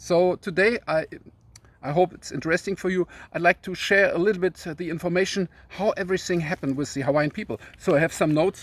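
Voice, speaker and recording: Racing at a very fast pace, a man with a German accent speaks at a high pitch with ordinary pitch variation. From Germany. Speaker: YouTuber. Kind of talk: casual video talk. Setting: outdoors in a forest. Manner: halting, many fillers.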